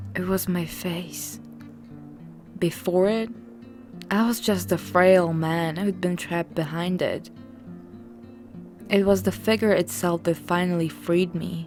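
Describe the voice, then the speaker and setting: A woman's fairly low voice at a fairly slow pace, with ordinary pitch variation and long, frequent pauses, music playing in the background. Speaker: horror story narrator. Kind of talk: horror story narration.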